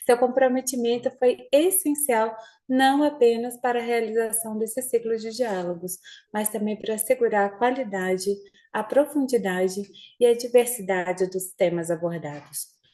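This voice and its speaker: A woman speaks at a fairly high pitch in a dark, mellow tone. Her pace is moderate, with ordinary pitch variation. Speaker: audit institution official. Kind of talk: formal closing speech. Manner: formal.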